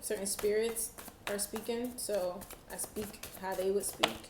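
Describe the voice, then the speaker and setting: With audible room echo around her, a woman speaks at a medium pitch and with fairly even intonation. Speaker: tarot reader. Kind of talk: tarot reading monologue. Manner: slow.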